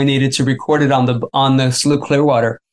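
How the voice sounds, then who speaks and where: Talking at a fairly quick pace with an American accent, a man uses a plain, everyday voice pitched fairly high. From Florida. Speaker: musician and author. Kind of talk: interview.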